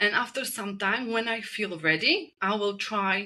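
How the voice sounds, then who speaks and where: A woman with a Czech accent, a medium pitch and a fairly slow pace. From Czech Republic. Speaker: spinal energetics practitioner. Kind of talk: podcast interview.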